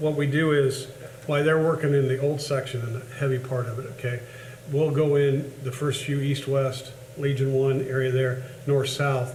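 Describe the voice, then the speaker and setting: A man with a Midwestern US accent speaks at medium pitch in a monotone, flat intonation. Noticeable background noise and audible room echo are present. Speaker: cemetery superintendent. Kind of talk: public meeting report. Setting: board meeting. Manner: fast.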